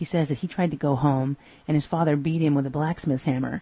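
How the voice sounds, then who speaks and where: In an American accent, a woman speaks at a moderate pace in a very deep, low voice that is somewhat breathy, with ordinary pitch variation. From Texas. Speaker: podcast host. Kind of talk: solo episode review.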